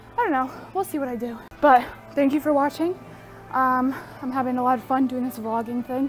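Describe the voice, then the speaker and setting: Fairly quick speech with fairly even intonation plays over faint music in the background. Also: woman. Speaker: vlogger. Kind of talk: casual vlog chat. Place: gym. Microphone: earbuds.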